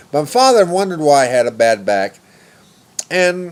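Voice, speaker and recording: Noticeable background noise runs behind the recording. A man speaks with very wide pitch swings. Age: 40s. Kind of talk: personal story told to camera. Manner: casual, rambling.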